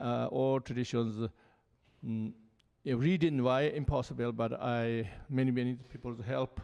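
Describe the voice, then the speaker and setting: With a Tibetan accent, a man speaks fairly slowly at a medium pitch. His intonation is fairly even, and the background is quiet. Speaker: Buddhist lama. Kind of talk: panel talk. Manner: halting.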